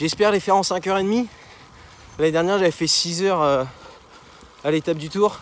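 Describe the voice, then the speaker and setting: A man's high voice, its pitch varying in an ordinary way. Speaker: amateur cyclist vlogger. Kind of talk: vlog while riding. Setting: outdoors on a bike. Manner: hesitant, many fillers.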